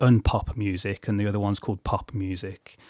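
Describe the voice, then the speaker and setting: A man speaks at a moderate pace with a fairly low pitch and an English Midlands accent, recorded very cleanly with a silent background and a dry, close sound with no echo. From England, Coventry. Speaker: musician and songwriter. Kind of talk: casual chat. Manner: halting.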